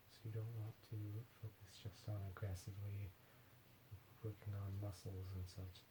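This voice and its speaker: A whispered, soft-spoken voice. It is somewhat breathy. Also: man. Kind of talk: ASMR massage. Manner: soft-spoken, whispered.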